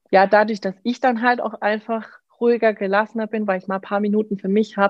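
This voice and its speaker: A woman's fairly quick, flat, monotone delivery at a medium pitch. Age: 20s. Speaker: mother, course participant. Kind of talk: interview. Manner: hesitant, many fillers.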